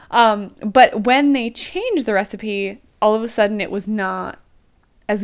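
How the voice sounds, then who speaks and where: Fairly high in pitch, a woman speaks in an unremarkable speaking voice with an American accent at a fairly slow pace. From US, Pennsylvania (Lancaster County). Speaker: podcast host. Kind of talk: casual chat.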